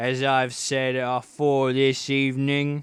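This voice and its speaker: A man puts on a character voice in a Cockney accent. He speaks at a fairly slow pace with monotone, flat intonation. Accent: coarse cockney. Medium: read story. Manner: rough, aggressive.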